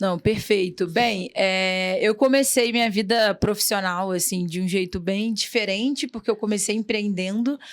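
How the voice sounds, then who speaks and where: On a very clean recording with a silent background, a woman of medium pitch talks at a fairly slow pace with hardly any pauses and ordinary pitch variation. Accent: Rio de Janeiro. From Rio de Janeiro, Brazil. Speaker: entrepreneur. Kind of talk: podcast interview. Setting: studio.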